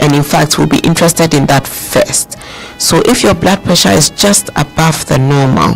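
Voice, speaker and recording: Over music in the background, a man with a fairly high pitch speaks at a moderate pace with ordinary pitch variation and very even loudness. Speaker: doctor, guest expert on a radio health show. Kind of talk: radio health talk explaining medical advice.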